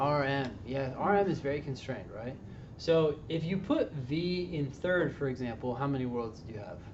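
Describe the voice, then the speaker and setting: A fairly high-pitched man at a moderate pace with ordinary pitch variation and audible room echo. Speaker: LSAT tutor. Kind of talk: tutoring session with students.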